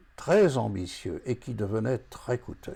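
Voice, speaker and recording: At a very slow pace, a man with a medium pitch speaks in a dark, mellow tone with vocal fry. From France. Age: 80s+. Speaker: retired forecasting consultant, association founder. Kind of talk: scripted address to camera.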